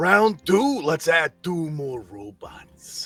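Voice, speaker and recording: Over faint music in the background, a man uses a put-on character voice pitched high and speaks at a very slow pace. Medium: actual play. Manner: hearty, casual showman.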